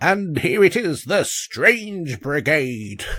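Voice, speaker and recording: Very slowly, someone performs a put-on character voice with very wide pitch swings. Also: man, fairly high pitch for a man. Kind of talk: posh, theatrical. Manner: vintage newsreel narration.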